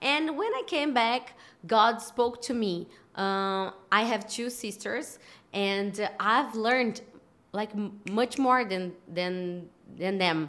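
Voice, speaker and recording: The speaker talks at a very slow pace with a Portuguese accent and ordinary pitch variation. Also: woman, fairly high pitch for a woman. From Brazil. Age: 30s. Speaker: podcast host. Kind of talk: interview. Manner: halting.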